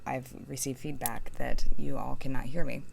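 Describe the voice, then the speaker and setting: A soft-spoken woman amid audible room echo. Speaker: tarot reader. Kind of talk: tarot reading. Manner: mumbling.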